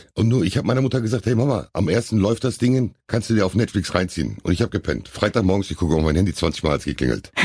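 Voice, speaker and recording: A man talks with vocal fry and lively intonation. The background is quiet. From Hamm, Germany. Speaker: actor and bodyguard. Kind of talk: casual interview.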